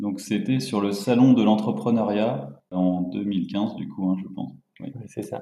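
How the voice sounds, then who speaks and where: In a room with audible echo, a man with a dark, mellow tone and a fairly low pitch talks at a fairly slow pace, with ordinary pitch variation and big swings in loudness. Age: 20s. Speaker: entrepreneur. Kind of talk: casual interview.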